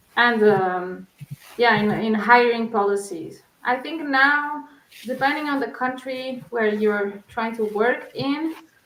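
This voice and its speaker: Woman with a Portuguese accent at a very slow pace, ordinary pitch variation and audible room echo. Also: fairly high pitch for a woman. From Portugal. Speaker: researcher. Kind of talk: interview.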